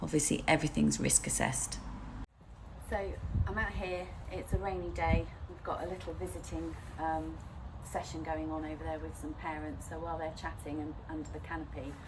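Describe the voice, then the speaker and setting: A woman talks at a fairly quick pace, leaving long, frequent pauses. Noticeable background noise and audible room echo surround her. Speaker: nursery forest school leader. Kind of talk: guided tour and parent briefing. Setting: outdoors.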